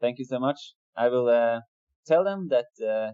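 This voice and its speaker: Speaking fairly slowly with a non-native accent, a man holds a medium pitch with ordinary pitch variation. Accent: foreign accent in English. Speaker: metal band vocalist and guitarist. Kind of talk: interview. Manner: halting.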